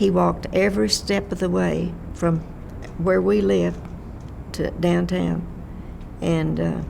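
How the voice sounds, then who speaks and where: Over noticeable background noise and audible room echo, a woman with a Texan accent speaks at a fairly slow pace with long, frequent pauses. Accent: Texan Southern US. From Texas, Fort Worth area. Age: 90s. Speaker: elderly resident sharing memories. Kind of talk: oral history interview. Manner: halting.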